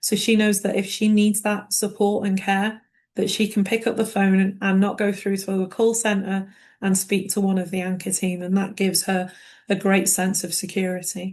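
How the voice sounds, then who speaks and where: A woman with a British accent speaks at a moderate pace, somewhat breathy, with monotone, flat intonation. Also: medium pitch for a woman, quiet background. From United Kingdom. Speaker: care management director. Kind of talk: panel discussion in a webinar.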